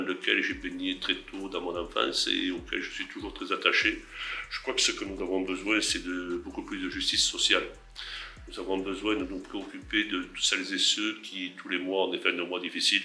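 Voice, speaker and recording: Noticeable noise runs in the background while this man talks at a moderate pace. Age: 60s. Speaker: senator. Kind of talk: interview answers.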